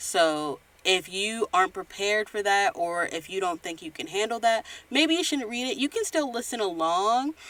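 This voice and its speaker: A woman's medium-pitched voice with very wide pitch swings, at a moderate pace. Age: 20s. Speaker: podcast host. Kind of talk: casual podcast talk. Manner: occasional stutter.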